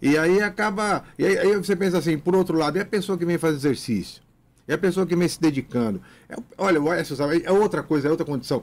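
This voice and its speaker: On a very clean recording with a silent background, a man with a high pitch talks at a very fast pace with ordinary pitch variation. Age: 60s. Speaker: physical education professor. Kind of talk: radio interview. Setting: radio studio. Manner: animated.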